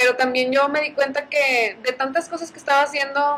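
A woman speaks at a moderate pace. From Mexico, Allende, Nuevo León. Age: 20s. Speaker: entrepreneur and engineer. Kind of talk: casual chat.

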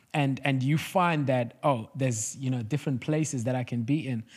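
Over a silent background in a very clean recording, a man talks at a moderate pace with ordinary pitch variation. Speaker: church podcast producer, guest co-host. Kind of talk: casual faith discussion. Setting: studio.

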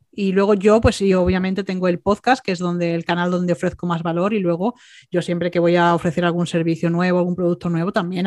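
A woman's medium-pitched, normal speaking voice at a fairly quick pace, with a dry, close sound with no echo, on a very clean recording with a silent background. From Andalusia, Málaga. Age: 40s. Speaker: entrepreneurship coach. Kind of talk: interview.

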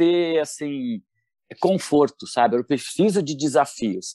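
A man with a São Paulo accent speaks at a very slow pace, his tone dark and mellow. His intonation is lively, and the sound is dry and close with no echo. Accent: Paulistano Brazilian Portuguese. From São Paulo state, Brazil (São Paulo city and Campinas). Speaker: professional tap dancer and dance teacher. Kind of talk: interview.

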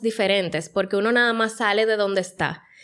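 A plain, everyday voice from a woman, fairly high-pitched and fairly quick, with fairly even intonation, on a very clean recording with a silent background. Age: 30s. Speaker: podcast co-host. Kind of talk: casual chat.

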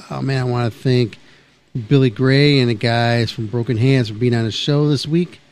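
A man speaks at a moderate pace. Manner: loud, hyped and energetic, slangy with 'man' and 'baby'; casual, rambling and conversational.

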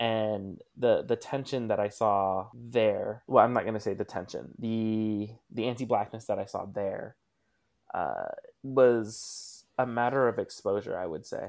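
A man takes his words at a fairly slow pace. Behind him, music can be heard. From US Pacific Northwest (Tacoma, Washington); early childhood in Malaysia. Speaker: activist. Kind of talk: casual chat.

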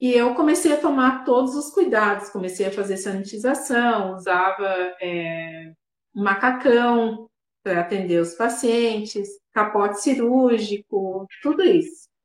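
A normal speaking voice at a fairly slow pace, with lively intonation. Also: woman, fairly high pitch for a woman. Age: 30s. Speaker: dentist. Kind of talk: interview.

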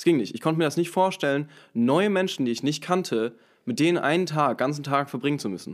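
Lively in intonation, a man with a fairly high pitch talks at a very fast pace in a very clean recording with a silent background. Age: 20s. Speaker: podcast guest. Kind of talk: casual chat. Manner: halting, many filler sounds.

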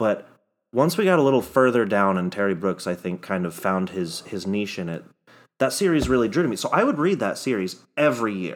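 In a very clean recording with a silent background, a man with an ordinary speaking voice and a fairly low pitch talks at a fairly quick pace with lively intonation. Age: 20s. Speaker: podcast co-host. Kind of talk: casual chat.

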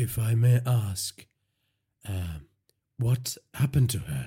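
A man puts on a character voice, dark and mellow with a husky, rough edge, at a medium pitch, speaking slowly with lively intonation.

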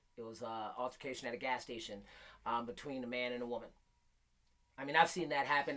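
Speaking at a very fast pace, a man has a bright, sharp tone. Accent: American. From Michigan, Flint. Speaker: podcast host. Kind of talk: casual chat.

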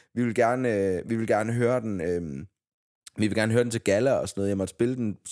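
The man's medium-pitched voice races at a very fast pace, its pitch shifting in an ordinary way. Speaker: podcast host. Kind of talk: casual chat.

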